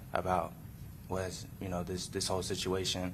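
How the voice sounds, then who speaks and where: The pace is moderate. Room echo is audible. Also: man. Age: 20s. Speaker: defendant testifying in court. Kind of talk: court testimony. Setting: courtroom. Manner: halting.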